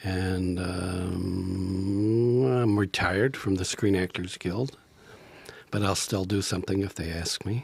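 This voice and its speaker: A man talks at a very slow pace with a very deep, low pitch. His voice is somewhat breathy, with fairly even intonation. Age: 70s. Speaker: improv actor and teacher. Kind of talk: podcast interview. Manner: halting, many fillers; soft-spoken.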